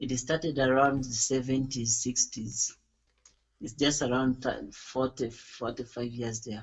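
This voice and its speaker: A very slow, somewhat breathy male voice of medium pitch, flat and monotone in intonation. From Uganda. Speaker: gospel music school director. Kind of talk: interview. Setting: internet call. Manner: hesitant, with fillers.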